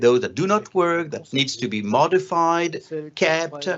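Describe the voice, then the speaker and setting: This is a man speaking with a French accent. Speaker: conference panel moderator. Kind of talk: panel discussion moderation. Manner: halting.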